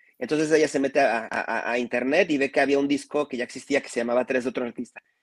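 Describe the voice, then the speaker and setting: A man's fairly high voice at a very fast pace, with a dry, close sound and no echo. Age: 30s. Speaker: music video director. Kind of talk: casual chat. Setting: live stream.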